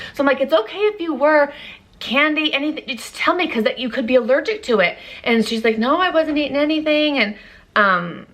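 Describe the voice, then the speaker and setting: A loud woman talks at a fairly quick pace, her tone bright and sharp and her intonation lively. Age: 30s. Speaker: beauty vlogger. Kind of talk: casual chat.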